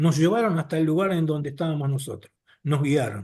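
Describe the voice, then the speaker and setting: This man talks at a fairly quick pace in an ordinary speaking voice, with lively intonation and a fairly high pitch. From Argentina, Buenos Aires. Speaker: abductee sharing experiences. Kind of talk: personal testimony in podcast interview.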